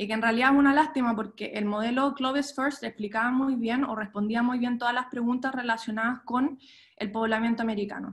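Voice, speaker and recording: The speech moves at a moderate pace. The intonation is monotone and flat. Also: woman. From Chile, moved to the US at 13. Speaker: archaeologist. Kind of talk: lecture. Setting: video call. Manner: halting, many fillers.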